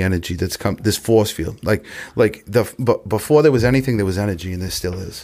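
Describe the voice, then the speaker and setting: With a normal speaking voice, a man at a fairly low pitch talks at a fairly quick pace with ordinary pitch variation. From Massachusetts, south of Boston. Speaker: recovering alcoholic sharing his story. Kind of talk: recovery testimony in casual podcast chat. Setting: recovery center.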